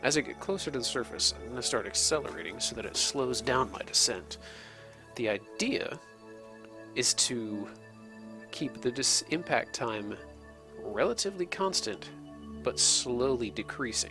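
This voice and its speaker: A whispering man at a moderate pace, with long, frequent pauses and music in the background. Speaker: video game let's play host. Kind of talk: gameplay tutorial commentary. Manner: whispery.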